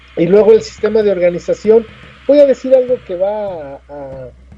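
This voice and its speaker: A man speaks at a moderate pace in a high pitch. His tone is dark and mellow. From Mexico City, Coyoacán. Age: 60s. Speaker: teacher of ancestral culture, author. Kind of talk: interview. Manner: halting, with frequent fillers and repetitions.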